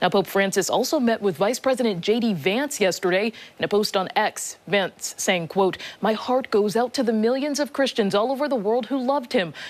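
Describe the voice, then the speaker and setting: A woman speaks with a normal speaking voice at a fairly high pitch and a moderate pace. Her intonation is lively and her loudness very even. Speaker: TV news anchor and multimedia journalist. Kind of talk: morning news anchor delivery.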